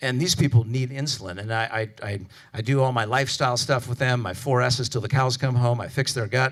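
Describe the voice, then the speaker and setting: A somewhat breathy man speaks with an American accent at a medium pitch. He goes at a very fast pace with ordinary pitch variation. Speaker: physician lecturer. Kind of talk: conference lecture. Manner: casual, animated.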